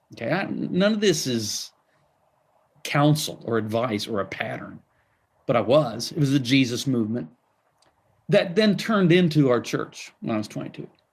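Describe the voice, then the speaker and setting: On a very clean recording with a silent background, a medium-pitched man uses vocal fry and very wide pitch swings at a moderate pace, with long, frequent pauses. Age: 60s. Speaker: pastor and author. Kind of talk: interview.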